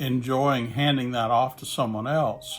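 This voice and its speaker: With music in the background, the speaker talks in a Southern US accent. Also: man. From Mississippi, US South. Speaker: church planting specialist. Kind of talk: casual talk to camera. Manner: slow.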